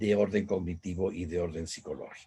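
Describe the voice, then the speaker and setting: With a somewhat breathy quality, a man delivers his words at a fairly slow pace. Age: 70s. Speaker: business speaker. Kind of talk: lecture.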